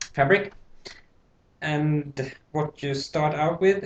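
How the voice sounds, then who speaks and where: Speaking very slowly, this man has a non-native accent. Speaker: tailor. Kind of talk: tutorial. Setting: home, late at night. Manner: hesitant, with many fillers. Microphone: laptop mic.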